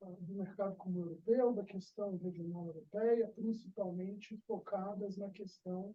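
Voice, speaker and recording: A man speaks in a monotone, flat delivery with a high pitch and a fairly slow pace. He hardly pauses, and his loudness swings widely. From Brazil. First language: Portuguese (speaking Spanish). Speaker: seminar coordinator, academic moderator. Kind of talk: casual chat; seminar introduction. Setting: video call with auditorium. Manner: halting.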